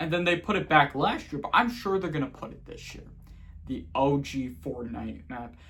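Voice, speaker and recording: Vocal fry runs through a bright, sharp tone delivered at a moderate pace with lively intonation. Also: man, fairly high pitch for a man. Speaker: gaming YouTuber. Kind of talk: casual vlog monologue. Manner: halting, self-correcting.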